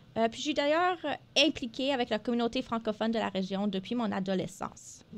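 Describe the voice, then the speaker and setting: A woman's fairly high voice, bright and sharp in tone, with lively intonation at a moderate pace. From northern Alberta, Canada (Franco-Albertan). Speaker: radio co-host, health network development officer. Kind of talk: scripted radio show presentation. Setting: radio studio. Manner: hesitant, many filler sounds.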